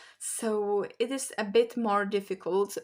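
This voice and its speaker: Over a silent background in a very clean recording, a woman with a Polish accent speaks very slowly with fairly even intonation. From Poland. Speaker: language learning vlogger. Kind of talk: casual vlog talk.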